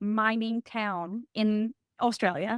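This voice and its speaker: A woman with a Southern US accent speaks in a fairly high voice. The recording is very clean and dry, close with no echo and a silent background. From East Tennessee. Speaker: former state representative and CEO. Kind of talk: interview answer. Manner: enthusiastic.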